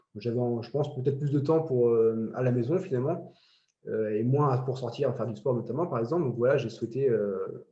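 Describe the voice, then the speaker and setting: Somewhat breathy and dark, mellow in tone, a man speaks at a fairly quick pace with ordinary pitch variation, and the room echo is audible. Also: medium pitch for a man. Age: 30s. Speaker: amateur woodworker. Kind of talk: interview. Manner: hesitant, many fillers.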